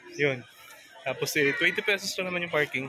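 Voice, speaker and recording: A high-pitched man talks at a fairly quick pace amid noticeable background noise. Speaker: moto vlogger. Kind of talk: travel vlog narration. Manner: speaking quietly.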